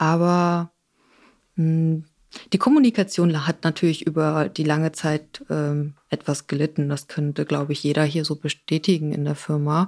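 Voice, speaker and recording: Delivered at a moderate pace with fairly even intonation, the voice carries a southern German accent in a very clean recording with a silent background. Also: woman, very deep, low pitch for a woman. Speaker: production coordinator. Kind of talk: casual chat.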